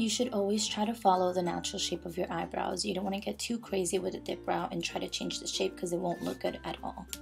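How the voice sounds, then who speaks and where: A woman whispers at a very fast pace with hardly any pauses while music plays in the background. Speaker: beauty vlogger. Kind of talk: makeup tutorial voiceover. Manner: whispered.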